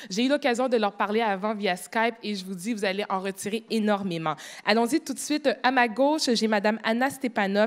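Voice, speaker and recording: In a very clean recording with a silent background, the voice has ordinary pitch variation. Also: woman. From Quebec, Montreal. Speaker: panel moderator. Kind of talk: moderated panel discussion. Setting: stage with audience.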